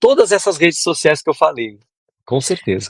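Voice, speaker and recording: The speaker is a man. His voice sounds dry and close, without any echo. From southern Brazil, Porto Alegre. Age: 60s. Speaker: composer and music producer. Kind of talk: interview.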